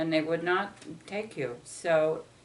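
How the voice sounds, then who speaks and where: There's audible room echo around a woman with an American accent. Her pitch sits fairly low. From Ohio, US Midwest. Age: 70s. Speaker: parent interviewed by family. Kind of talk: family interview.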